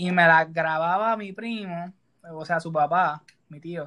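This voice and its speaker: A man speaks at a fairly slow pace with a high pitch. His tone is bright and sharp. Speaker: podcast co-host. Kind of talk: casual chat.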